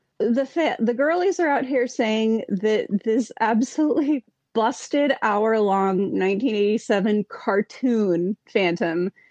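In a dry, close sound with no echo, a woman with a fairly high pitch talks very slowly with hardly any pauses, lively intonation and very even loudness. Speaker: podcast host. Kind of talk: casual chat.

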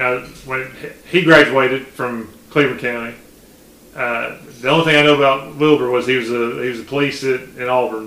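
A man with a Southern US accent, medium pitch, fairly even intonation and a fairly quick pace, amid noticeable background noise. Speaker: podcast host. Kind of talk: casual chat.

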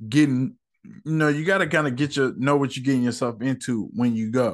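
Moderate pace against a quiet background. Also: man. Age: 30s. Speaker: solo movie podcast host. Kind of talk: casual monologue. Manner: animated.

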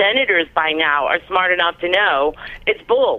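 Here is a woman with an unremarkable speaking voice. She speaks at a moderate pace with lively intonation. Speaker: caller. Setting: phone call.

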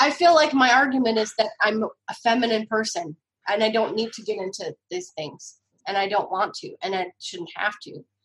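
A woman speaks at a moderate pace in a plain, everyday voice. Her intonation is lively, and her loudness swings a lot. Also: fairly high pitch for a woman. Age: 40s. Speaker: cookbook author. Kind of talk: casual chat.

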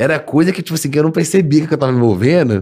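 Talking at a very fast pace, a man uses a fairly high pitch with lively intonation. Vocal fry runs through his voice. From Minas Gerais, Brazil (Sete Lagoas). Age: 20s. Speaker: comedy video creator. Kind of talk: casual chat.

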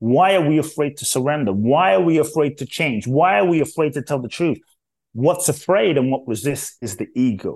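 Against a quiet background, a man with a London accent speaks at a moderate pace. His fairly high pitch moves with lively intonation. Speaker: inspirational speaker. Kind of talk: interview.

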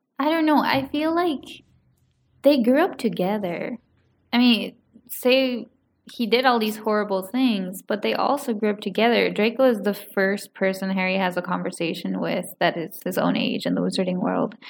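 A woman speaks in a medium pitch at a moderate pace. Her intonation is lively, with vocal fry. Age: 20s. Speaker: podcast guest. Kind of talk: casual chat.

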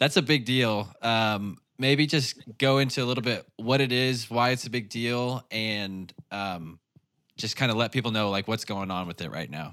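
A man with an Ozark accent speaks at a medium pitch and a moderate pace. The recording is very clean, with a silent background. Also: ordinary pitch variation. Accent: Southern US (Ozarks). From Arkansas (Northwest, Ozarks). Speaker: podcast host. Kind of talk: interview conversation. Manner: casual.

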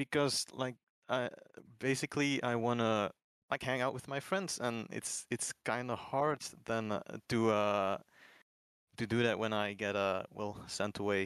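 Long, frequent pauses break up speech in a non-native accent with ordinary pitch variation, on a very clean recording with a silent background and a dry, close sound with no echo. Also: man, medium pitch for a man. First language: not English. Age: 20s. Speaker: advice seeker. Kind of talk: advice conversation. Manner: halting.

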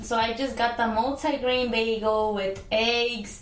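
Her pitch is fairly high and her intonation monotone and flat. The woman speaks at a very slow pace. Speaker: podcast co-host. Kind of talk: casual chat. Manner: laughing, giggly.

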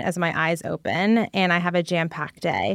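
In a very clean recording with a silent background, a woman with an American accent uses an unremarkable speaking voice at a fairly low pitch and a moderate pace. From New Jersey. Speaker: listener. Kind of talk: recorded listener message.

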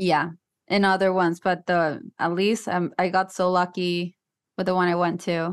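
Monotone, flat delivery in a slight Puerto Rican accent, at a moderate pace with very even loudness against a quiet background. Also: woman, fairly low pitch for a woman. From Puerto Rico. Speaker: actress and TikTok content creator. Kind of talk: casual podcast interview. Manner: nervous.

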